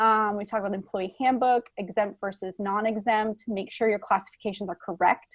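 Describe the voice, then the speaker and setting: A woman talks at a medium pitch with ordinary pitch variation. Hers is an ordinary speaking voice. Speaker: school HR and payroll administrator. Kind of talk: conference presentation. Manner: frequent filler words.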